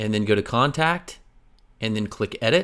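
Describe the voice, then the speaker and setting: The recording is very clean, with a silent background. A man speaks at a medium pitch and a fairly quick pace, with ordinary pitch variation. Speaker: web design tutorial creator. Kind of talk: tutorial. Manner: fast; casual.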